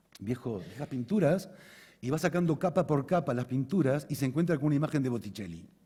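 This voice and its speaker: A man talks at a fairly quick clip in a fairly high voice, dark and mellow in tone and somewhat breathy. His intonation is lively. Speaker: conference speaker, osteopath. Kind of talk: conference talk. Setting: stage with audience. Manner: fast; halting, repeats words.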